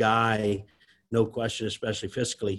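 A man speaks at a medium pitch with a South Louisiana accent. The background is quiet. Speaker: restaurant company CEO. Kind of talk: interview. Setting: video call.

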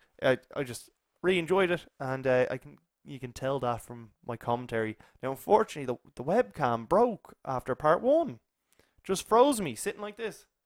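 A man with a fairly high pitch speaks at a moderate pace, his pitch swinging very widely and his loudness rising and falling sharply, in a dry, close recording with no echo and a silent, very clean background. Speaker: podcast host. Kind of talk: casual chat.

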